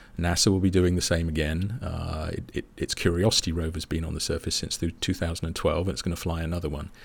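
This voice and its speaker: A man with a British accent talks at a very fast pace in a very deep, low voice with fairly even intonation. The recording is very clean, with a silent background. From England. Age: 50s. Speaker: space scientist. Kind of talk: casual chat.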